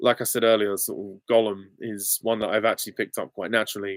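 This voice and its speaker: The speaker has an English accent. The recording is very clean and dry, with a silent background and a close sound with no echo. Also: man. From England. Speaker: YouTube film commentator. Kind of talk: live Q and A stream. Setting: live stream. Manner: casual, hesitant with many ums.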